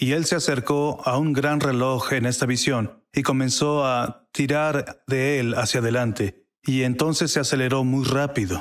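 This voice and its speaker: With an English accent, a man talks at a medium pitch with fairly even intonation, very even loudness and hardly any pauses. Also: fairly slow pace. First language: English (speaking Spanish). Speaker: prophetic minister. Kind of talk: testimony.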